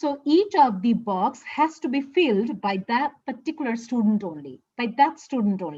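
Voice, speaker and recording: A woman with a Bengali accent, a dark, mellow tone and very wide pitch swings, against a quiet background. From Bangladesh. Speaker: English teacher. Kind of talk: conference presentation. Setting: online conference. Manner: halting, frequent fillers.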